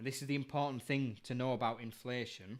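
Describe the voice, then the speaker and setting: With a Yorkshire accent, a man talks at a moderate pace with fairly even intonation. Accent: Bradford. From northern England, Bradford. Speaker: live stream co-host, industry commentator. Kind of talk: casual live stream chat.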